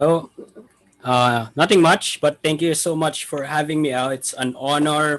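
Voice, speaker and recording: A man's fairly high voice at a fairly slow pace, with fairly even intonation. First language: not English. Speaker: indie game studio founder. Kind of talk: casual interview. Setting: live stream. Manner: talkative.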